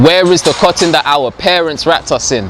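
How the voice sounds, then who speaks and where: Over noticeable background noise, a man with a fairly high pitch moves at a fairly quick pace. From London. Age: 20s. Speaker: spoken word poet. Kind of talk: spoken word poetry performance.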